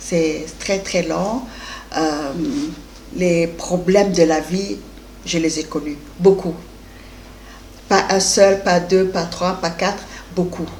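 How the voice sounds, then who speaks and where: A woman speaks very slowly at a fairly low pitch, with fairly even intonation and long, frequent pauses. Noticeable background noise and audible room echo are present. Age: 60s. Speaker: life coach and business owner. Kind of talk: interview.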